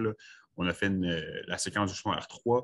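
Speaking at a fairly slow pace with fairly even intonation, a man has a fairly low pitch and a plain, everyday voice. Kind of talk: online meeting discussion.

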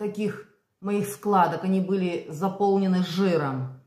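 A woman is speaking. Room echo is audible around her voice. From Belarus. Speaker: vlogger. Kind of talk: casual vlog monologue. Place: kitchen. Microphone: phone near.

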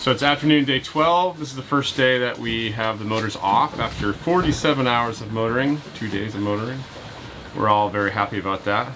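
With ordinary pitch variation, this man's voice comes through noticeable background noise. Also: moderate pace. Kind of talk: casual vlog chat. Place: boat. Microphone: phone near.

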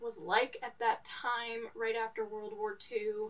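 A woman's fairly high pitch, monotone, flat intonation and very slow pace. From New York. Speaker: book vlogger. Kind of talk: casual book review monologue. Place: home room.

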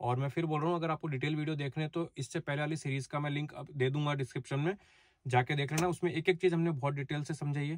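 At a fairly quick pace, a man speaks with fairly even intonation in a dry sound with no echo. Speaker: travel vlogger. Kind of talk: casual vlog chat. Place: car. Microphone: phone near.

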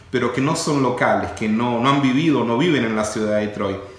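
With audible room echo, a man talks at a moderate pace with ordinary pitch variation. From Argentina. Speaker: real estate company CEO; interviewee. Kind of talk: interview. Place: office.

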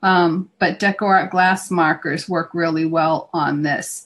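Her voice is somewhat breathy. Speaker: craft instructor. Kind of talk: tutorial. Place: home room. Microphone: video call.

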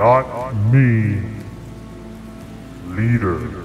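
Over clear background noise and with a slight echo, a man does a cartoonish character voice at medium pitch. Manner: terse broken speech.

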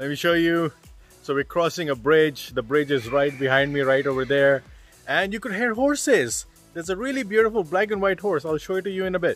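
A man at a fairly quick pace, dry sound with no echo, faint music in the background. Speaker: travel vlogger. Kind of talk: casual vlog chat. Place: garden. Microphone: phone near.

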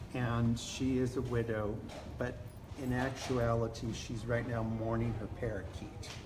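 Noticeable background noise sits behind a man's speech. He talks at a fairly slow pace, somewhat breathy and monotone, with flat intonation. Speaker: doll collector and event organizer. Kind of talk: casual interview on live video. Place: hall. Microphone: phone near.

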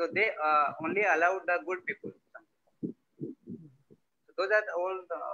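A man uses a raised, projected voice with a bright, sharp tone and high pitch. He speaks at a very slow pace with ordinary pitch variation over a quiet background. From Odisha, India (Mayurbhanj district); Odisha. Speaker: visual artist, printmaker. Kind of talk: artist presentation. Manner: halting. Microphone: video call.

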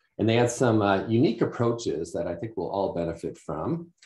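A man speaks at a moderate pace in a dark, mellow, somewhat breathy tone with ordinary pitch variation. Audible room echo surrounds his voice. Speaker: webinar host. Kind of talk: webinar introduction. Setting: video call. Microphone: webcam.

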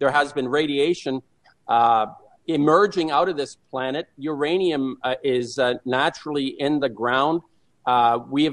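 A man with a normal speaking voice talks at a moderate pace. His pitch is fairly high and his intonation fairly even. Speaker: anti-nuclear activist. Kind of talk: radio interview. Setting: phone call.

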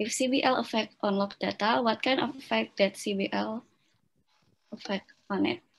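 A woman talks at a fairly slow pace. Her voice is somewhat breathy. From Indonesia. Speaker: event moderator. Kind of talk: formal moderation. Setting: video call. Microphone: video call.

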